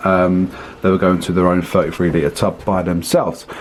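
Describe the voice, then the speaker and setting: A man talks with a British accent. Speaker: reptile breeder and video host. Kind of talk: casual room tour video. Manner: fast.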